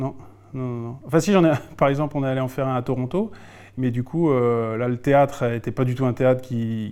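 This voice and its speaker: Here a man talks at a fairly quick pace in a dark, mellow tone, his pitch medium and his intonation fairly even. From Alsace, France. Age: 40s. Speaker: improv actor and poet. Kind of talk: interview conversation. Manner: halting, frequent repetitions.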